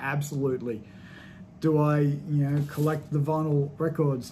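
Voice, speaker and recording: In a room with audible echo, a man speaks with a fairly high pitch and a somewhat breathy voice. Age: 30s. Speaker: podcast host and movie reviewer. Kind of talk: solo movie review monologue. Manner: casual, with frequent fillers.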